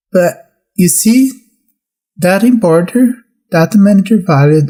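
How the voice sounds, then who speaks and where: A man speaks with a non-native accent and a dark, mellow tone. His pace is moderate and his intonation lively. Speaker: programming instructor. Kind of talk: tutorial.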